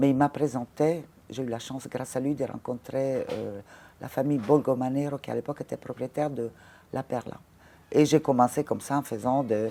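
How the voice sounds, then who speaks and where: A woman's dark, mellow voice with a very deep, low pitch, fairly even intonation, an Italian accent and a moderate pace. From Italy, Ravenna. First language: Italian (speaking French). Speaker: former fashion model and casting director. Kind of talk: interview conversation. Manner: halting, frequent hesitations.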